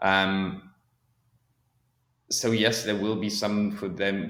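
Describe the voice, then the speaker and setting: This man has a plain, everyday voice with a fairly low pitch and fairly even intonation. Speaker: podcast guest, neurodiversity advocate. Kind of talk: interview conversation.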